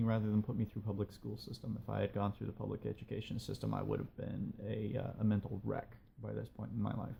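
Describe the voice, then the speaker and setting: A man speaks in a dark, mellow tone, somewhat breathy and at a fairly low pitch. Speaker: video blogger, writer. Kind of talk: personal monologue video blog. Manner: hesitant with fillers.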